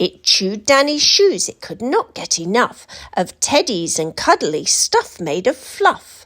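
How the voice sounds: A woman speaks slowly in a fairly bright tone, her pitch swinging widely. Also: medium pitch for a woman.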